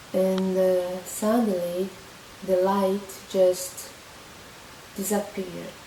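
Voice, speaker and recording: The speaker talks with a Portuguese accent in a monotone, flat intonation at a very slow pace with long, frequent pauses. Noticeable background noise and audible room echo surround the voice. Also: woman, medium pitch for a woman. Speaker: vlogger. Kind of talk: personal testimony. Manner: halting, many fillers and restarts.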